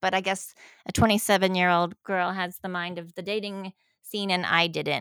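A woman with an unremarkable speaking voice talks at medium pitch with fairly even intonation in a very clean recording, silent background, with a dry, close sound and no echo. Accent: American. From US South. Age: 50s. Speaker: divorced woman sharing a dating story. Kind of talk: interview.

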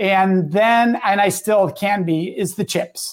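On a very clean recording with a silent background, a man with a Midwestern US accent speaks very slowly at a high pitch. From Southern Wisconsin, US Midwest. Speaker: guest and speaker. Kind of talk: casual interview chat.

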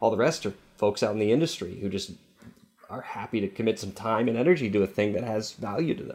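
Speaking at a very fast pace, a man uses a fairly low pitch with ordinary variation. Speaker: security company interviewee. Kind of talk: interview.

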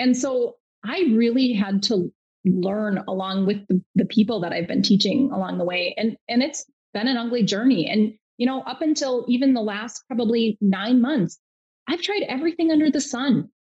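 A woman speaks in a normal speaking voice with a fairly high pitch. Her intonation is lively, and her pace is moderate. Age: 40s. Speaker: nurse practitioner and health coach. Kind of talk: casual interview.

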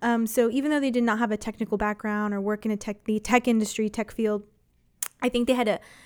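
On a very clean recording with a silent background, a woman with an American accent talks at a very fast pace in a fairly high pitch. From Texas, San Antonio. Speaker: internet provider employee in public policy. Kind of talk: radio interview.

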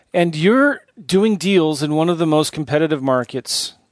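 In a West Coast accent, a man talks at a moderate pace. His fairly high pitch shows ordinary variation. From San Diego, US. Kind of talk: podcast interview. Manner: laughs often.

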